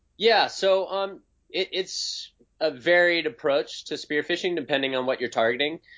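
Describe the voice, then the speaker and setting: A man talks at a moderate pace in a high voice with ordinary pitch variation. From Hawaii. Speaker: professional big-wave surfer and bow hunter. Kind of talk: casual interview chat.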